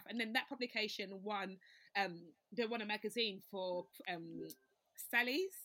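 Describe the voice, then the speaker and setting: A woman at medium pitch, fairly even in intonation, moving at a moderate pace with long, frequent pauses. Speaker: writer and storyteller. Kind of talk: casual chat.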